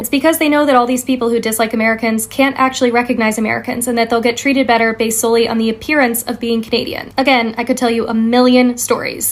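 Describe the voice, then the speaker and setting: A woman talks at a very fast pace with a fairly high pitch and monotone, flat intonation. Noticeable background noise runs underneath. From North America. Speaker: content creator. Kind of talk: monologue to camera.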